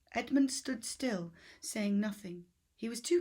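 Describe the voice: Simple, plain reading aloud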